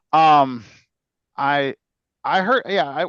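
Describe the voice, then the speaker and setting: Speaking with an Illinois accent, a man with a fairly high pitch is heard in a dry, close sound with no echo and a quiet background. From Chicago, Illinois. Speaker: podcast host. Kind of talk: casual chat. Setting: video call.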